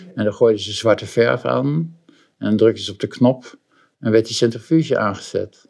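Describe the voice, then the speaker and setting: A man at a moderate pace, with lively intonation and vocal fry. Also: medium pitch for a man. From Netherlands, Boskoop near Gouda (South Holland). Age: 70s. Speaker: interior shop owner and co-founder. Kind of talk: interview. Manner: halting, many repetitions and fillers.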